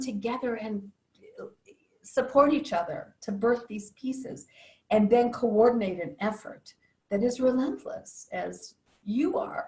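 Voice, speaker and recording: A woman's voice, high in pitch. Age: 70s. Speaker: psychologist and inner work facilitator. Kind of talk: interview.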